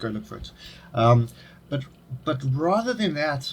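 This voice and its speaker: A man speaks with a South African accent and a fairly high pitch. His voice is somewhat breathy, with lively intonation. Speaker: podcast host. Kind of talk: casual interview chat.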